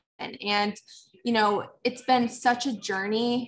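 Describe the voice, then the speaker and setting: A somewhat breathy voice with fairly even intonation over light background noise. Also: woman. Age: 20s. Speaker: network marketing seller. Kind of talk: casual interview chat. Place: home room. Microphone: video call.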